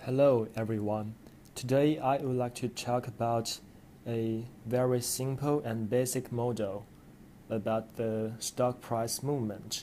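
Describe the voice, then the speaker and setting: A man with a non-native accent, medium in pitch with a dark, mellow tone, speaking at a fairly slow pace in a monotone, flat intonation. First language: not English. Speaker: educational video maker. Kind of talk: tutorial.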